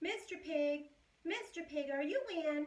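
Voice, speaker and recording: A squeaky put-on character voice at a fairly slow pace. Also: woman. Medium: read story.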